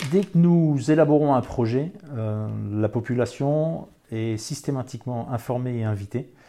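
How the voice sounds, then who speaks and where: A man's dark, mellow voice at a medium pitch and very slow pace, with ordinary pitch variation, over a quiet background. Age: old. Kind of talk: interview testimony. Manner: hesitant, with filler sounds and repetitions.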